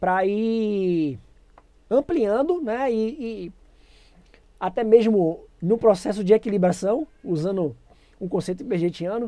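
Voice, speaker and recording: A woman's dark, mellow tone at a medium pitch, with lively intonation, a very slow pace and long, frequent pauses. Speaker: educator running a pedagogy channel. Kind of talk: live-streamed lecture.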